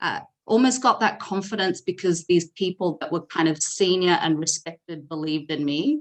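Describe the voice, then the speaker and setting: This woman talks with an Australian accent in a fairly low voice, using ordinary pitch variation and hardly any pauses. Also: moderate pace. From Australia (Sydney). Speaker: data leader and company founder. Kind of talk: podcast interview. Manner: conversational with frequent fillers.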